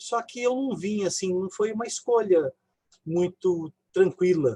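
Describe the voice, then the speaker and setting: In a dry, close recording with no echo, a man with a high pitch and a dark, mellow tone talks at a fairly slow pace with ordinary pitch variation. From interior of São Paulo state, Brazil (near southern Minas Gerais). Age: 60s. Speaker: physician and family caregiver. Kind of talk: personal testimony in a live online talk.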